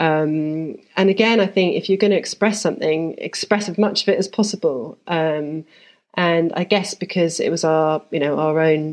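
In a London accent, a woman speaks at a moderate pace with a fairly low pitch and ordinary pitch variation, against a quiet background. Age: 40s. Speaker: architect. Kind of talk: casual interview.

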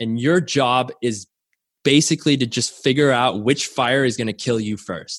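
Against a quiet background, a man with a medium pitch talks in an animated tone at a moderate pace, his pitch varying in an ordinary way. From Canada. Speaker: startup co-founder and tech executive. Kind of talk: interview. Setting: video call from home.

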